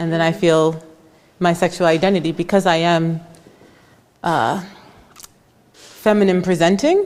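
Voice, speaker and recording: A woman with an American accent, at medium pitch and a moderate pace. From United States. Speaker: moderator, student affairs administrator. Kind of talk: panel conversation. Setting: art gallery with audience.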